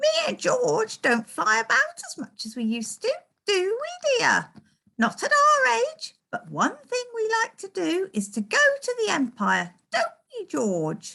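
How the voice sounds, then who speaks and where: Using a put-on character voice, a woman talks squeaky and extremely high-pitched at a fairly slow pace. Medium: read story. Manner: chatty, breathless.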